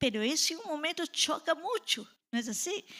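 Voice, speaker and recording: A woman uses a raised, projected voice. She speaks very slowly. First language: Portuguese (speaking Spanish). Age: 60s. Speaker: pastor. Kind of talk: sermon.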